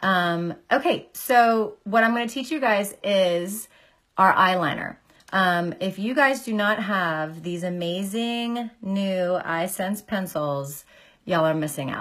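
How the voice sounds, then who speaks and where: With the background quiet, a woman talks at a very slow pace. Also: medium pitch for a woman, lively intonation. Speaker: makeup artist and beauty product seller; beauty product seller. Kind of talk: makeup tutorial livestream. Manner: casual, many filler ums. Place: home room. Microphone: phone near.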